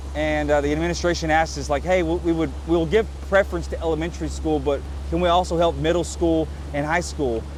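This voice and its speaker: Speaking very fast with an East Texas accent, a man is heard over audible room echo. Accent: East Texas Southern US. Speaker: congressional candidate and fishing vlogger. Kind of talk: casual appeal while vlogging. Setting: outdoors on a boat on a lake. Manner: animated.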